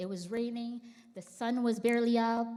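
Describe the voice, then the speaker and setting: With a Filipino accent, a woman speaks at a moderate pace in a fairly high pitch. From Philippines. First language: Tagalog. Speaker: church member. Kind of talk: testimony. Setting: church.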